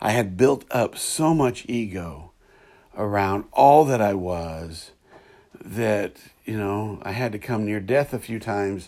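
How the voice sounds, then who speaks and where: A man speaks at a very slow pace in a fairly low voice with a dark, mellow tone. His pitch varies an ordinary amount. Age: 50s. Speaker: podcast host. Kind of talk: spiritual monologue. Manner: hesitant, many fillers.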